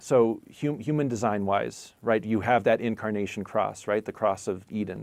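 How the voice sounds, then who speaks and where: Vocal fry and ordinary pitch variation in a male voice. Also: very clean recording, silent background. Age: 40s. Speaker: spiritual teacher. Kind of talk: live stream chat.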